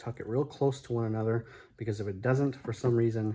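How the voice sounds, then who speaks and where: On a very clean recording with a silent background, a man with a medium pitch and a somewhat breathy voice speaks at a fairly quick pace with ordinary pitch variation. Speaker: fireworks hobbyist. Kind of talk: tutorial. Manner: hesitant, many fillers.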